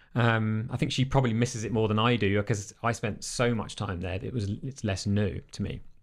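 In a very clean recording with a silent background, a man talks at a fairly quick pace with hardly any pauses, a fairly low pitch and ordinary pitch variation. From England. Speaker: life and business coach. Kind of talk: casual interview. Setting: studio.

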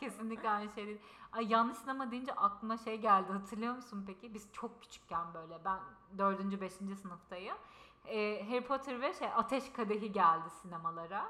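A fairly high-pitched woman at a moderate pace, with ordinary pitch variation, big swings in loudness and noticeable background noise. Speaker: podcast co-host. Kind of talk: casual chat. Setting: in-person shared microphone. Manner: loud, straining voice. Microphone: picks her up quieter than co-host.

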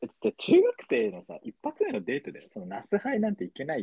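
Animated in tone, a man talks at a fairly quick pace. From Tochigi, Japan. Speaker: podcast co-host. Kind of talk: casual chat. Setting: remote recording, hosts in different places.

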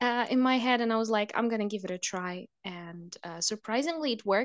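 In a Russian accent, a woman talks at a fairly quick pace with very wide pitch swings, the sound dry and close with no echo. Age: 20s. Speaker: podcast guest. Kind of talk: casual chat.

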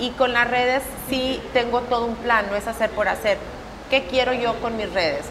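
A high-pitched woman at a moderate pace with ordinary pitch variation, amid noticeable background noise. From northeastern Mexico. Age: 30s. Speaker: makeup artist and salon owner. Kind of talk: interview. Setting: studio.

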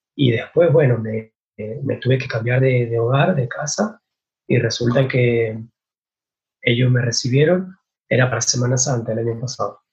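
A man at a medium pitch speaks at a moderate pace with ordinary pitch variation, a somewhat breathy sound, and long, frequent pauses. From Argentina, San Martín, Mendoza. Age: 20s. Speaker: winemaker. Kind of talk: interview.

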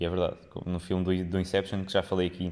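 In a European Portuguese accent, a man speaks with a very deep, low pitch. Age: 20s. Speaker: podcast host. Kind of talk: solo monologue podcast. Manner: hesitant, many fillers and repetitions.

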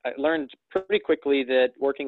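Speaking at a moderate pace, a man talks in a north Alabama accent. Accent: Southern US (north Alabama). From US South. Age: 30s. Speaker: real estate investor and broker. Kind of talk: casual interview chat.

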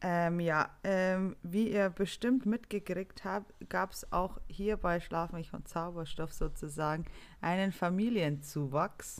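The speech comes at a very slow pace with ordinary pitch variation, on a very clean recording with a silent background. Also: woman, fairly low pitch for a woman. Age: 30s. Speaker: podcast co-host, nurse. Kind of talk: casual chat.

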